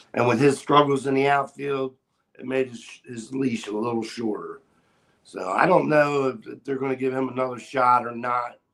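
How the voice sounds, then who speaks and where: A man with an American accent and an unremarkable speaking voice talks at a moderate pace and medium pitch, with fairly even intonation and big swings in loudness. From Maryland, US (Aberdeen). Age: 60s. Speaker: sports social media personality. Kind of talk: casual interview chat.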